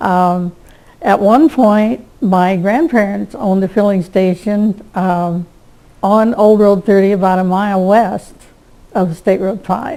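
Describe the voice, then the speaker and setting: With a Midwestern American accent, a woman speaks at a medium pitch with ordinary pitch variation over noticeable background noise. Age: 80s+. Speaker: local elder interviewee. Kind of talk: oral history interview. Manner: hesitant, with fillers.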